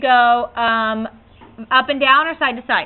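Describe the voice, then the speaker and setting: A high-pitched woman with fairly even intonation. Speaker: math teacher. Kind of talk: classroom lecture.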